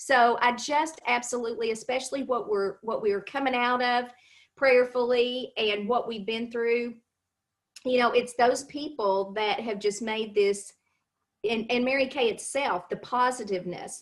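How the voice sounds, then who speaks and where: Using a Kentucky accent, a woman speaks at a high pitch and a moderate pace. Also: ordinary pitch variation. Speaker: cosmetics sales consultant. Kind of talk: interview on a live stream.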